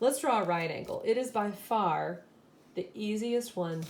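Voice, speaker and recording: A woman with a fairly high pitch and lively intonation is heard over noticeable background noise. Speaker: elementary school teacher. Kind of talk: tutorial. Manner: animated.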